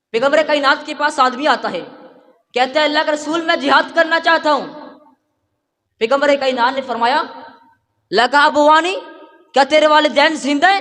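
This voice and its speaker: At an extremely high pitch, a man uses a raised, projected voice with fairly even intonation. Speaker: Islamic preacher. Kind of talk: Islamic sermon.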